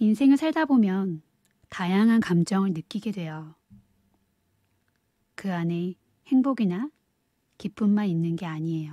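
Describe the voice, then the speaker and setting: Speaking at a fairly slow pace with long, frequent pauses, a woman uses a medium pitch, lively intonation and a dark, mellow, soothing tone in a dry, close sound with no echo. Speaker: audiobook reader. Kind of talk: audiobook reading, ASMR-style soothing narration. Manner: soft-spoken, soothing.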